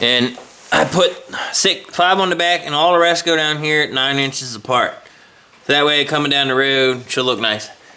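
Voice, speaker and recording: A man with a Southern US accent, fairly high-pitched, with ordinary pitch variation over noticeable background noise. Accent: southern drawl. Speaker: car customizing vlogger. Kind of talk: casual vlog walkthrough. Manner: casual, halting with fillers.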